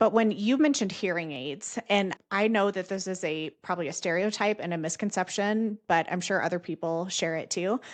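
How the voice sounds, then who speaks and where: At a fairly quick pace with hardly any pauses, a woman speaks at a medium pitch with ordinary pitch variation against a quiet background. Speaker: podcast host, dental educator. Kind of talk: interview. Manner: loud, projecting voice.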